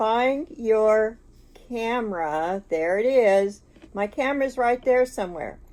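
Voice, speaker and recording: A woman with a fairly high pitch speaks at a very slow pace, her intonation lively. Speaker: grandmother podcaster / tech novice. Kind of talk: casual talk to camera, tutorial. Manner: chatty, rambling, self-deprecating.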